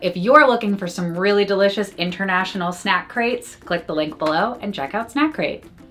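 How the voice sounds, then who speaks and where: A woman talks in an animated tone. Music plays in the background. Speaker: food reviewer. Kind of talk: product review / taste test.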